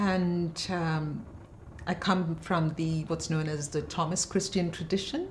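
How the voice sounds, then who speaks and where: Over noticeable background noise and audible room echo, a woman talks at a very slow pace. Her pitch is fairly low and her intonation fairly even. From India, Bangalore (born in Kerala). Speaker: poet and professor. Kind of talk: interview conversation. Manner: hesitant, many fillers.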